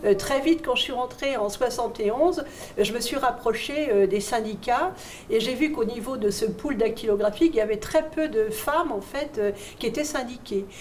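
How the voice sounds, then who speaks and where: Over noticeable background noise, a woman talks at a moderate pace in a high pitch with ordinary pitch variation. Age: 70s. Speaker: retired shipyard secretary and trade unionist. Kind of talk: testimony. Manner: hesitant, many fillers.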